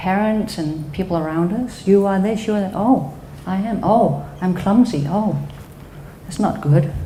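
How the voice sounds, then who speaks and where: Audible room echo surrounds a woman speaking at a moderate pace and medium pitch with ordinary pitch variation. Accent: Danish. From Denmark. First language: Danish. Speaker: psychotherapist. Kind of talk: talk to an audience.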